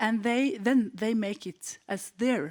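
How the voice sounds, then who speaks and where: A woman speaks with a Norwegian accent and ordinary pitch variation. The recording is very clean, with a silent background and a dry, close sound with no echo. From Norway, Hemsedal. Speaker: teacher. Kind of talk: conference panel talk. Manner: halting.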